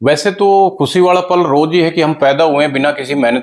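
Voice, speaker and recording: Pitch variation is ordinary. There is music in the background. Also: man. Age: old. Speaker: lawyer, retired air force serviceman. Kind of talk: interview answer.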